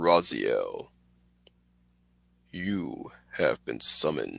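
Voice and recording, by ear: Very slow male speech in a put-on character voice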